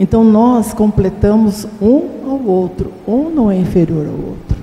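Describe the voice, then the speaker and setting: A woman speaks at a very slow pace with a fairly high pitch. Her intonation is lively, and noticeable background noise can be heard. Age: 70s. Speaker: Bible class participant. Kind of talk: Bible study class discussion.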